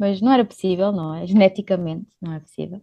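A plain, everyday voice with ordinary pitch variation comes through in a dry, close sound with no echo. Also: woman. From Portugal, born in Luxembourg. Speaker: volunteer and social entrepreneur. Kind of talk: interview.

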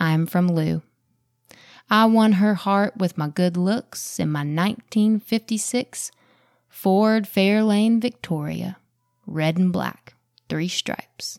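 Over music in the background, a woman speaks very slowly in a warm, dramatic tone at a medium pitch with ordinary pitch variation, taking long, frequent pauses, with a dry, close sound and no echo. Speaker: podcast host. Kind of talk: casual solo podcast talk; poem read aloud, performed. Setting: solo recording, Taylor absent. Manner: slow, measured, expressive poetry delivery with dramatic pauses; warm, conversational, thoughtful.

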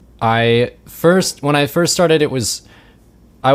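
The recording is very clean, with a silent background. A man talks with an American accent and ordinary pitch variation. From Richmond, Virginia. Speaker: composer and music educator. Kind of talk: interview. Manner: halting, many fillers and repetitions.

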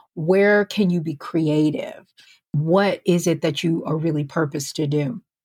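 A woman speaks with an American accent in a normal speaking voice. Her pitch is fairly low. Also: fairly even intonation, fairly slow pace. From US Northeast, near New York City. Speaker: podcast host, career coach. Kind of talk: solo podcast monologue.

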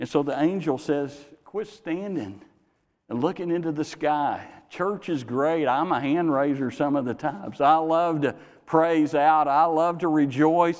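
A man with an ordinary speaking voice talks at a fairly slow pace. His pitch is fairly high with ordinary variation. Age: 60s. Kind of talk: sermon. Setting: church.

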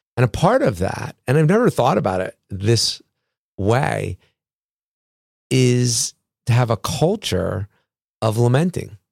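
A man speaks fairly slowly at a medium pitch, somewhat breathy and with lively intonation. Long, frequent pauses break up his speech, and the sound is dry and close with no echo. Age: 50s. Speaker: pastor. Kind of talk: casual chat.

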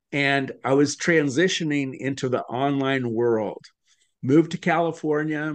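A man's plain, everyday voice at a fairly high pitch and fairly slow pace, with ordinary pitch variation. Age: 60s. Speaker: author and speaking coach. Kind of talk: interview.

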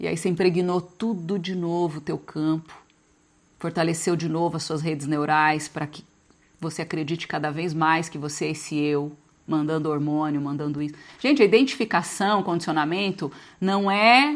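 A woman's unremarkable speaking voice, fairly low in pitch, at a moderate pace with ordinary pitch variation, against a quiet background. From Brazil, small inland town. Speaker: spiritual coach. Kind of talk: live group session on spiritual growth. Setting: video call. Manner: casual, conversational.

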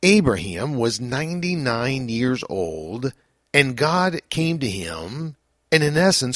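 The recording is very clean, with a silent background. A man at medium pitch speaks with very wide pitch swings. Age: 50s. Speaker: pastor. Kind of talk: devotional reflection.

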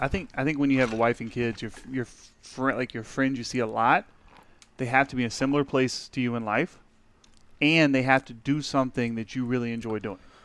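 On a very clean recording with a silent background, a man talks with medium pitch and fairly even intonation. He has a normal speaking voice. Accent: American. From Texas. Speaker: guest, powerlifter. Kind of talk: casual banter podcast.

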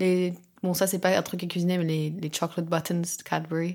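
In a very clean recording with a silent background, a woman with a fairly low pitch talks at a fairly quick pace in a monotone, flat intonation. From France (Alsace). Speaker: ballet dancer. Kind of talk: casual chat. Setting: home kitchen.

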